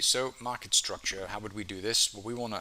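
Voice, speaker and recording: Over noticeable background noise, a man with a fairly low voice speaks at a fairly quick pace with fairly even intonation. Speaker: forex trading educator. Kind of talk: tutorial. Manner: hesitant, many fillers.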